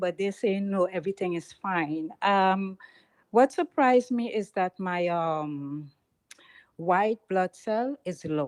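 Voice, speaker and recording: A woman with a strong Trinidadian accent speaks at a medium pitch and a very slow pace, her intonation lively. The sound is dry and close with no echo, over a quiet background. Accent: heavy Trinidadian. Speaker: caller. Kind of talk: call-in question. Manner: loud; halting.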